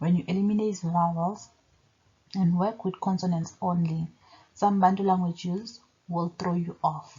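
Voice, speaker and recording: A woman with a Zulu accent speaks at a moderate pace in a somewhat breathy, fairly low voice, her intonation flat and monotone, with long, frequent pauses. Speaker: religion commentator. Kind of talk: video monologue.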